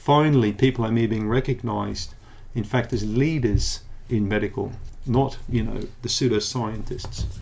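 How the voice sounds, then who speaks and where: A man's medium-pitched voice with a New Zealand accent. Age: 60s. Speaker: naturopath. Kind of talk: educational monologue. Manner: animated.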